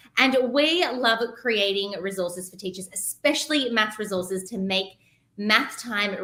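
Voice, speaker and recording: Here is a woman with an Australian accent at medium pitch. She keeps a moderate pace with ordinary pitch variation. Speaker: teaching resource creator. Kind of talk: podcast interview. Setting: livestream on Facebook and YouTube.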